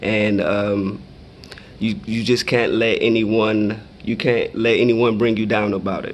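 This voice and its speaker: With an American accent, a man speaks at a fairly low pitch and fairly slow pace, his intonation fairly even, in audible room echo. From Michigan and Texas, US. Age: 30s. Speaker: blindness advocate. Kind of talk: Q&A for schoolchildren.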